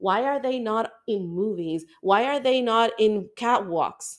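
A woman speaks in an ordinary speaking voice, fairly high in pitch. The recording is very clean, with a silent background. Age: 40s. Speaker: podcast host. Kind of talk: casual interview chat.

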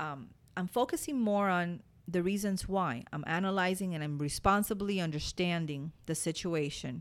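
A woman with a Spanish accent speaks in an animated tone on a very clean recording with a silent background. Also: fairly low pitch for a woman, ordinary pitch variation, moderate pace. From Cuba. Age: 40s. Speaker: podcast host. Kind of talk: motivational monologue.

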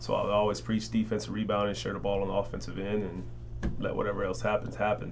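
In an American accent, a man speaks with audible room echo around him. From Chicago, South Side. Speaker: college basketball coach. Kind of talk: casual interview.

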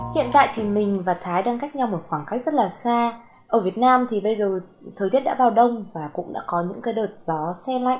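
Lively in intonation, a woman speaks at a fairly high pitch in a plain, everyday voice. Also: moderate pace. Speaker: podcast host. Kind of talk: casual interview.

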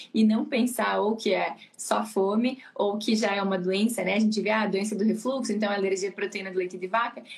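With hardly any pauses, a woman talks at a fairly quick pace in a medium pitch and fairly even intonation. Noticeable background noise can be heard. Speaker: pediatrician. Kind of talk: casual chat. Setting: live stream.

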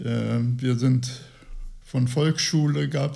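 The man's voice is somewhat breathy and medium in pitch, with a dark, mellow tone. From Lower Saxony, Gifhorn. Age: 80s+. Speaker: retiree. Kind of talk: interview.

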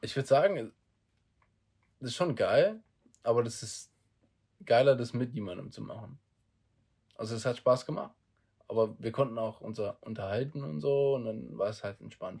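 On a very clean recording with a silent background, a man's somewhat breathy voice shows ordinary pitch variation, big swings in loudness, and long, frequent pauses. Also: medium pitch for a man, moderate pace. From South Africa. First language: not German (speaking German). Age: 20s. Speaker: podcast co-host, trainee. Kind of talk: casual chat.

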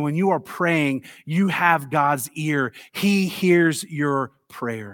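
On a very clean recording with a silent background, a man with an American accent uses a fairly high pitch, a bright, sharp tone and ordinary pitch variation. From Tennessee. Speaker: pastor. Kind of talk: sermon. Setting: church.

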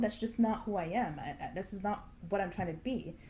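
A fairly quick-paced woman with a Canadian accent, fairly high pitch and a dark, mellow, somewhat breathy tone. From Canada. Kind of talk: interview.

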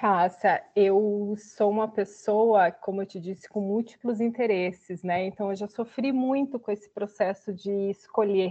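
A woman with a normal speaking voice at medium pitch talks at a fairly slow pace, with fairly even intonation and hardly any pauses. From Santa Catarina interior, Brazil. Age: 30s. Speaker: social sector worker. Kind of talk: casual chat.

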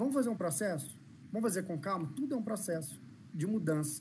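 A man speaks at a moderate pace in a high voice with lively intonation, and audible room echo surrounds him. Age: 30s. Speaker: inclusion consultant and speaker. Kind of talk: live-stream interview. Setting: video call.

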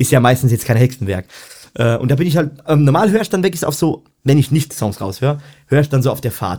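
A man's very fast voice, dark and mellow in tone, with lively intonation, in a very clean recording with a silent background. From Germany, Odenwald (southern Hesse). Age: 20s. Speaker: professional musician and music teacher. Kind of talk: casual chat.

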